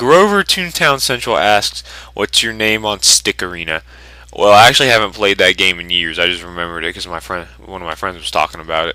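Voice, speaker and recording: A man with a Southern US accent speaks at a fairly quick pace, his fairly low pitch moving with ordinary variation. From US South. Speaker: YouTuber. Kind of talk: Q&A video. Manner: casual.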